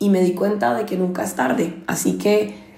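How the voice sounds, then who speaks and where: A woman talks at a moderate pace. Room echo can be heard around her voice. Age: 30s. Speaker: podcast host. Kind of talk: personal monologue.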